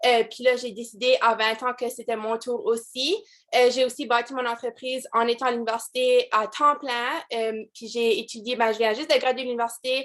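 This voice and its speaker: Fairly even intonation and an Acadian accent come through on a very clean recording with a silent background. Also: woman, high pitch for a woman, moderate pace. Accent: Acadian French (Chiac), noticeable. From Acadian New Brunswick, Canada. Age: 20s. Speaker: direct sales team leader. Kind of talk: motivational team call talk. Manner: casual, many fillers and English code-switching.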